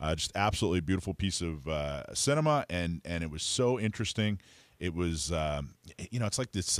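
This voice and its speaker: A man with a very deep, low pitch and lively intonation talks at a fairly quick pace, with a dry sound, no echo and a quiet background. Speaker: podcast host. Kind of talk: interview discussion. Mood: enthusiastic, admiring. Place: studio. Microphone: studio mic.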